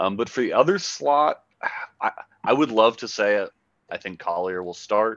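A man with an American accent speaks at a moderate pace, the sound dry with no echo against a quiet background. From Oakland, California, US; California. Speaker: soccer podcast co-host. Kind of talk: casual sports chat. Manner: hesitant, many fillers. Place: home room. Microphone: headset.

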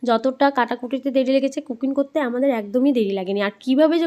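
A woman's high voice with ordinary pitch variation. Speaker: vlogger. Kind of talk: vlog voice-over. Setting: rooftop picnic at home.

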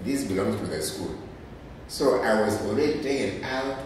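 Against strong room echo and light background noise, a man speaks at a fairly slow pace and a fairly low pitch. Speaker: professor. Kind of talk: interview answer. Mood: reflective, animated storytelling. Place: classroom.

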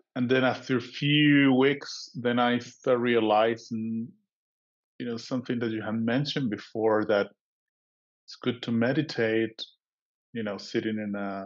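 With a Spanish accent, a man speaks at a fairly slow pace and with fairly even intonation. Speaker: meditation group participant and proofreader. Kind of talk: personal sharing. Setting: video call.

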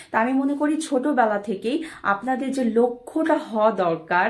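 A somewhat breathy woman's voice with ordinary pitch variation against a quiet background. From Bangladesh. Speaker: motivational speaker. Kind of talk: motivational talk. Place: home room. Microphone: phone near.

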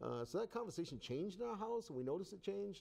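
This man, with an American accent, speaks fast at a high pitch, with big swings in his pitch. His tone is dark and mellow, with vocal fry.

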